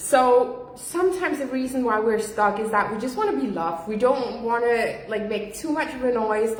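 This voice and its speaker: The woman's voice is loud and high-pitched. Noticeable background noise and audible room echo surround her. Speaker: business coach. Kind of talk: livestream talk. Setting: livestream from home.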